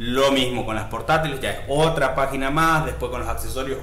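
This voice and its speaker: This is a man speaking. Noticeable background noise runs under his voice. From Argentina, Misiones province. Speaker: digital marketing tutorial creator. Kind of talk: screen-share software tutorial. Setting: home recording with screen share. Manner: casual, with frequent fillers and repetitions.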